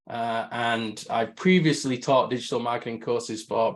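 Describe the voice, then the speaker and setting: The speech moves at a moderate pace in a northern English accent. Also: man. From northern England. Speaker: marketing agency head, webinar host. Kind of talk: webinar presentation. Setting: video call.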